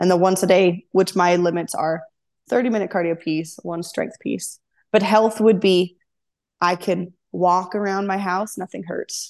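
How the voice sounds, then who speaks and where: Against a quiet background, a woman speaks at a fairly slow pace. Her medium-pitched voice has a monotone, flat intonation. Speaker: CrossFit athlete. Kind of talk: casual interview chat.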